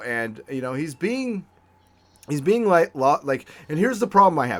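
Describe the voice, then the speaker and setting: On a very clean recording with a silent background, a man talks at a moderate pace with lively intonation. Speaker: podcast host. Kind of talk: casual chat. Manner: loud, excitable.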